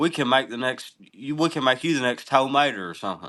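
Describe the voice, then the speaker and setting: A man with an Eastern Kentucky accent talks at a fairly quick pace. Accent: Eastern Kentucky Appalachian. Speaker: musician. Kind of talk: casual chat.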